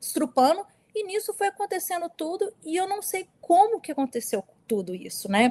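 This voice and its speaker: A woman's voice, dry and close with no echo, moves at a moderate pace through very wide pitch swings. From US, New York (moved from Brazil around age 8). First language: English dominant; Portuguese weaker (speaking Portuguese). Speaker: abuse survivor. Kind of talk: testimony in an interview.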